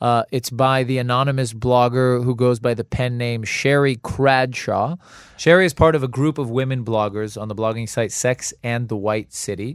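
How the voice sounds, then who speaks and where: A man speaks at a moderate pace in a normal speaking voice, his medium pitch carried with fairly even intonation. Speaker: podcast host. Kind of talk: casual banter.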